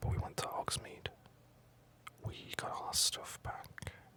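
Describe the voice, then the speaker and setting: A whisper moves at a fairly slow pace beneath noticeable background noise. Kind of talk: whispered gameplay commentary. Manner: whispered.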